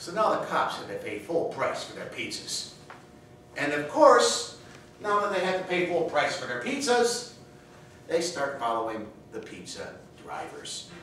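Over light background noise and strong room echo, a man speaks at a fairly slow pace. He leaves long, frequent pauses. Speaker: contest speaker. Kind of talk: humorous speech. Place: hall. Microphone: camera far.

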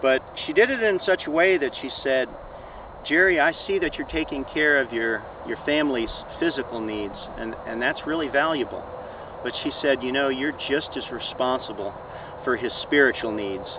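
The sound is dry with no echo, and background noise is noticeable. A man talks at a moderate pace. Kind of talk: personal testimony interview. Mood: earnest, reflective. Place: open country.

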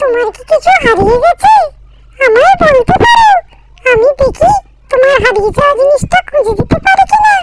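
At a moderate pace, a cartoonish character voice squeaks out at an extremely high pitch. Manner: warm, motherly.

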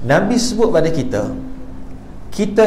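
Recorded with audible room echo and noticeable background noise, a man speaks at a fairly slow pace. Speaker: preacher. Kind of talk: religious lecture. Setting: surau with audience. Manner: animated.

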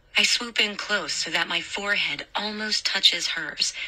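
A woman speaks at a fairly slow pace and a medium pitch amid noticeable background noise. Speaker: audiobook narrator. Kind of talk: horror audiobook narration, first-person ghost story. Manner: hushed, eerie, reflective narration.

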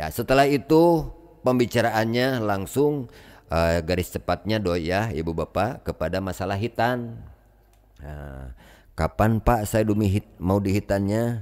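Speaking at a fairly slow pace with lively intonation, a man with a fairly low pitch shows big swings in loudness on a very clean recording with a silent background. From West Java, Tasikmalaya area. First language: Sundanese (speaking Indonesian). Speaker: Islamic spiritual teacher. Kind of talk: storytelling to a gathering. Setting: gathering with audience.

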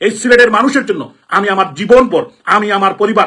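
A man's high-pitched voice, bright and sharp in tone, with lively intonation at a fairly quick pace.

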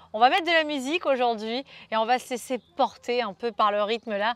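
The pace is moderate and the intonation lively. The sound is dry, with no echo. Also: woman. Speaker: fitness coach. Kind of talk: workout instruction. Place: garden. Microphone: lapel.

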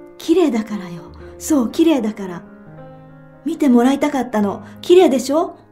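A woman with a high voice talks at a moderate pace, her pitch swinging very widely. Her loudness rises and falls sharply over background music. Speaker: author reading her own fiction. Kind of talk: literary short story reading (audiobook).

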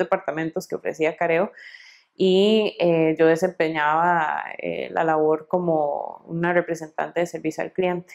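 Against a quiet background, a woman speaks fairly slowly at a fairly low pitch, with monotone, flat intonation. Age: 30s. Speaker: quality director. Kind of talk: interview testimony. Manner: hesitant with fillers. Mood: calm, friendly. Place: office. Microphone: lapel.

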